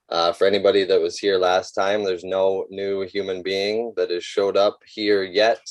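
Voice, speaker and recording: A man is speaking. His voice is shaky. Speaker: off-grid community designer. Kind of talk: presentation. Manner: shaky at first.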